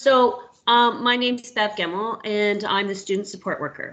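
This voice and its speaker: A woman's voice at a fairly high pitch. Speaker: school student support worker. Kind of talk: presentation at virtual school open house.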